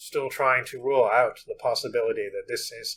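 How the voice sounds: This voice reads in a natural way.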